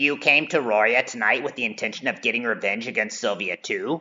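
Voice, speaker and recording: A man does a put-on character voice at a medium pitch. He talks at a fairly quick pace. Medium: read story. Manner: dry, wry.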